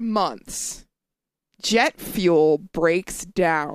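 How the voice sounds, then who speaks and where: A woman with an American accent at a very slow pace and medium pitch, in a dry, close sound with no echo. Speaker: podcast co-host. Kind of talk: casual chat. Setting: studio.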